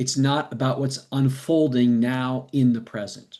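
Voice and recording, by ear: A man speaks in a dark, mellow tone at a fairly slow pace. His intonation stays fairly even. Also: medium pitch for a man.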